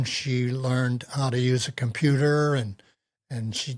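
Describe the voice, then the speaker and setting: A man with an American accent, medium pitch, flat monotone intonation and a somewhat breathy sound. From US Northeast. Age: 80s+. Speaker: retiree. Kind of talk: interview. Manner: halting.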